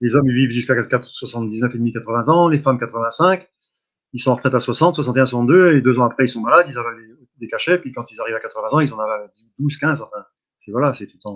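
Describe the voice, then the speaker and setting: At a very fast pace, a man speaks at a medium pitch with ordinary pitch variation. His loudness swings widely. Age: 60s. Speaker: cattle hoof trimmer. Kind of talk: interview testimony. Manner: halting, repetitive.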